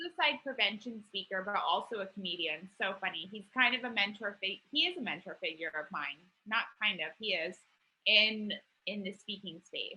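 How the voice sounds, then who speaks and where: At a moderate pace, a woman speaks in an ordinary speaking voice. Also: medium pitch for a woman, lively intonation. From Quincy, Massachusetts. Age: 30s. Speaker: motivational speaker and mental health advocate. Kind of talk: interview.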